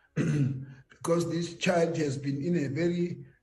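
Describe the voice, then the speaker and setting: A man's fairly even intonation is heard with audible room echo. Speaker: government health official. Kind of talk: panel discussion.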